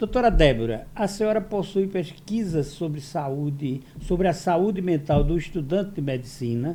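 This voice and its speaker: With hardly any pauses, a man speaks at a moderate pace and high pitch, his intonation lively. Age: 70s. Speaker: podcast host. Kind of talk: interview.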